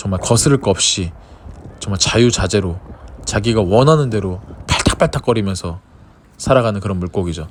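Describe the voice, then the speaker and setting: A man's fairly low voice at a fairly quick pace, with ordinary pitch variation, long and frequent pauses, and noticeable background noise. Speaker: vlogger and gym owner. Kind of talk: casual vlog talk to camera. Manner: stumbling.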